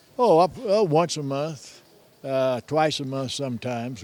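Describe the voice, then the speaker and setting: A man's medium-pitched voice, dark and mellow in tone, with ordinary pitch variation and an American accent. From El Paso, Texas. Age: 80s+. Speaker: poker player, World War II Navy veteran. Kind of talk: interview answer. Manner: hesitant, halting.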